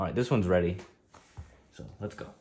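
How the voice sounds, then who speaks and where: A man with a very deep, low pitch talks at a very fast pace in a somewhat breathy voice. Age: 30s. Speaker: table tennis player and streamer. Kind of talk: live stream tutorial with chat. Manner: casual, conversational.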